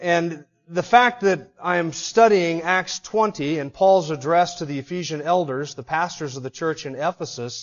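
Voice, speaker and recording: Over a quiet background, a man speaks at a moderate pace with hardly any pauses. His pitch is high, with ordinary pitch variation. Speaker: pastor. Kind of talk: sermon. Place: church.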